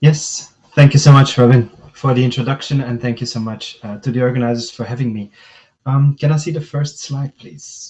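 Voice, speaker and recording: A man's voice comes out somewhat breathy, with fairly even intonation. Its loudness swings widely. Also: medium pitch for a man, fairly quick pace. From Belgium. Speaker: tech company director. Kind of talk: webinar presentation. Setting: video call. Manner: hesitant, many filler words.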